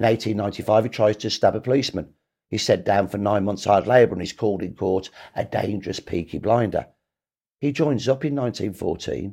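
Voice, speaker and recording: A man talks at a fairly quick pace with a Birmingham accent. His fairly low voice has a dark, mellow tone. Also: ordinary pitch variation. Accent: Birmingham (Brummie) English. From Birmingham, England. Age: 60s. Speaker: historian. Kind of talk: interview. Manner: animated.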